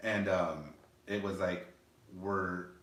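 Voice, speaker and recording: Over audible room echo, a man with a very deep, low pitch and an American accent speaks in a monotone, flat intonation. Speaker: podcast co-host. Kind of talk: casual chat.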